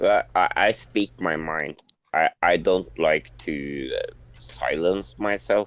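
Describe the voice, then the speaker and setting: A man speaks very slowly with a non-native accent. His very deep, low voice sounds dry and close, with no echo. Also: ordinary pitch variation. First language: not English. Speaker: online community member. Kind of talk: casual chat.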